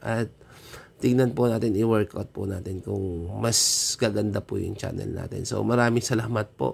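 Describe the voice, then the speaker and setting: A man speaks at a fairly low pitch. Vocal fry runs through his voice. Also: fairly even intonation, moderate pace. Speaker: coin collecting vlogger. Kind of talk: casual vlog talk. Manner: polite, frequent filler 'so'.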